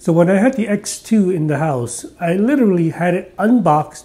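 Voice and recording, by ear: Speaking at a fairly slow pace, a man uses lively intonation, a high pitch, and a dark, mellow tone.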